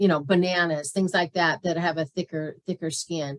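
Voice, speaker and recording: With a fairly low pitch, a woman speaks in a monotone, flat intonation, the sound dry and close with no echo. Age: 60s. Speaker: health coach teaching a diet class. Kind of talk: online class with Q&A. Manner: casual, hesitant with fillers.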